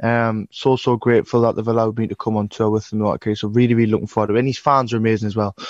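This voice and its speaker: Against a quiet background, a man with a northern English accent talks very fast at a medium pitch, the sound dry and close with no echo. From northern England. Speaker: musician. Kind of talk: casual interview chat.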